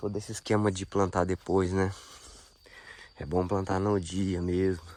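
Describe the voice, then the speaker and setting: Flat, monotone intonation marks this fairly slow delivery. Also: man, very deep, low pitch for a man. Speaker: agroforestry farmer. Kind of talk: video diary walkthrough. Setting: outdoors on a farm. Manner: casual, informal.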